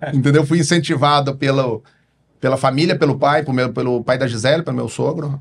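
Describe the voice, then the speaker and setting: Speaking at a fairly quick pace, a man talks with a Paraná accent. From Paraná, Brazil (interior, Cambará). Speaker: pharmacist and distribution company founder. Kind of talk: podcast interview.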